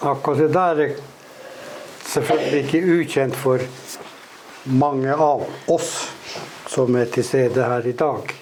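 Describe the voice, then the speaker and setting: A man with a fairly high pitch speaks at a fairly slow pace, leaving long, frequent pauses, his intonation fairly even and his loudness very even. Noticeable background noise and audible room echo fill the recording. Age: old. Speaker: interviewer. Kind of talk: interview on stage.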